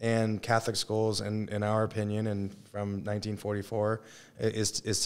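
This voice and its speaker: A man with a fairly low pitch is heard on a very clean recording with a silent background. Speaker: high school football coach. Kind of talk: casual interview. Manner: fast.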